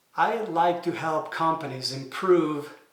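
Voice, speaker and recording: Audible room echo surrounds a man speaking in a fairly high pitch. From Italy. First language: Italian. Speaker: manufacturing engineer and consultant. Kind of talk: explainer video. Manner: hesitant, many fillers.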